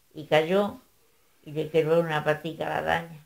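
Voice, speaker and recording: A woman speaks with an Andalusian accent. Her pace is fairly slow. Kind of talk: oral folk tale storytelling. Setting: home recording.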